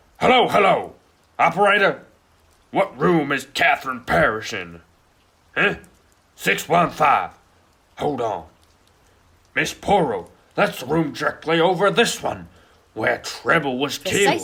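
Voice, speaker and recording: A put-on character voice at a moderate pace with long, frequent pauses. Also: man, high pitch for a man. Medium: stage play. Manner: excitable, fretful.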